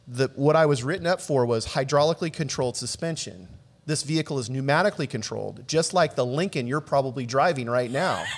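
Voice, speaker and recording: A man with a fairly high pitch speaks very fast with an American accent and ordinary pitch variation. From Southern California, South Bay (Los Angeles). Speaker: video producer. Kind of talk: casual chat.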